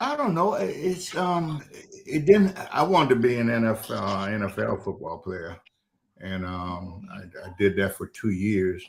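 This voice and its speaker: A man with a South Carolina Lowcountry accent, speaking at a fairly slow pace with big swings in loudness. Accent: Southern US (South Carolina Lowcountry). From South Carolina, Charleston. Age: 70s. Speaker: retired football coach and school administrator. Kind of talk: interview. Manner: halting, many fillers.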